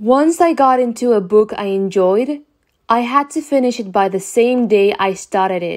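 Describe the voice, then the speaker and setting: On a very clean recording with a silent background, a woman speaks at a fairly slow pace in a fairly high pitch with lively intonation. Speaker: English teacher and podcaster. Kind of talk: scripted narration for language learners. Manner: clear, careful enunciation.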